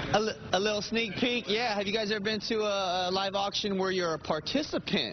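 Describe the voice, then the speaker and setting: Upbeat and high-pitched, a man talks at a fairly quick pace with very even loudness. Noticeable background noise runs underneath. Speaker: TV news field reporter. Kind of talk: TV news field report. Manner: lively, jokey, upbeat. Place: hall. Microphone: handheld.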